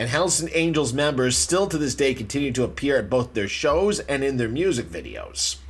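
Music plays in the background as a man speaks at a fairly quick pace. His fairly high voice has lively intonation. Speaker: podcast host. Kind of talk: casual chat. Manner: casual, laughing.

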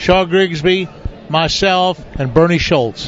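Over noticeable background noise, a man speaks in a high pitch with ordinary pitch variation. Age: 70s. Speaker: veteran professional bass angler. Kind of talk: casual interview chat. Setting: live show at a fishing tournament event.

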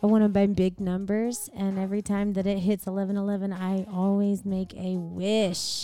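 A woman speaks at medium pitch with an American accent, her intonation monotone and flat. She keeps a moderate pace over background music. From Milton, Florida. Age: 30s. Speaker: singer. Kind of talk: casual chat.

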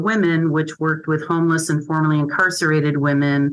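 A woman with a very deep, low pitch talks fairly quickly in a monotone, flat intonation. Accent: American. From Michigan. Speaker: social worker. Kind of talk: interview.

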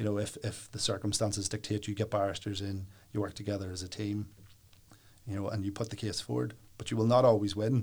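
A man's fairly low, somewhat breathy voice with a Northern Irish accent, very fast pace and fairly even intonation, on a very clean recording with a silent background. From Northern Ireland, County Down (Warrenpoint). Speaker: solicitor. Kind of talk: interview.

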